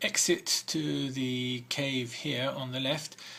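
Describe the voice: The speaker does plain reading aloud, keeping the intonation fairly even.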